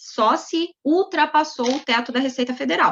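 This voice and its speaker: A woman speaks at a fairly slow pace. Her voice is high-pitched, with ordinary pitch variation. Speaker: labor lawyer. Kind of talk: webinar lecture.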